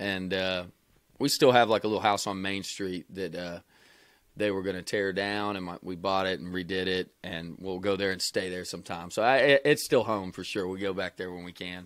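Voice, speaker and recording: With a Kentucky accent, a man speaks at a moderate pace in a very deep, low pitch and fairly even intonation. His loudness swings widely, and the recording is very clean with a silent background. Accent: Kentucky Southern. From Kentucky (Wilmore, near Lexington). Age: 20s. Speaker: country singer-songwriter. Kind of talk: casual interview.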